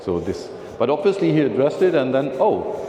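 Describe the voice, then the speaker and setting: Moderate pace, with noticeable background noise and audible room echo. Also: man. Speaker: philatelic speaker. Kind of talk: lecture. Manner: halting.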